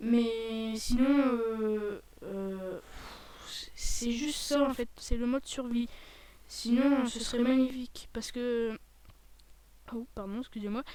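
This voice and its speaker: Fairly even in intonation, a woman speaks at a high pitch. Her pace is very slow, with long, frequent pauses. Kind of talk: casual video game commentary. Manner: hesitant, rambling.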